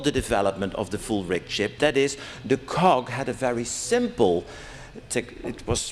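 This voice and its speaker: A man speaks with a Dutch accent. His intonation is lively and his pace moderate. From Netherlands. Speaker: academic conference participant. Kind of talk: conference Q&A question.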